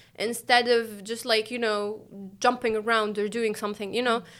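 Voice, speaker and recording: A woman's fairly high, flat, monotone voice with an Arabic accent, on a very clean recording with a silent background. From Tunisia. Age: 30s. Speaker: Olympic athlete. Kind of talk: casual interview chat.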